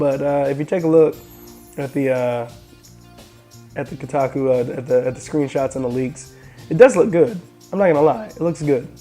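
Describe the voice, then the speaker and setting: Behind music in the background, a man with a fairly high pitch talks at a fairly quick pace, with long, frequent pauses. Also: ordinary pitch variation. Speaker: tech and gaming video host. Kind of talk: casual talk to camera.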